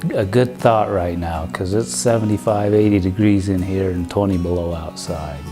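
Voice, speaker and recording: A very deep, low-pitched male voice over music in the background. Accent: Idaho. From Rexburg, Idaho. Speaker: cabinetmaker. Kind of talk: documentary interview answer.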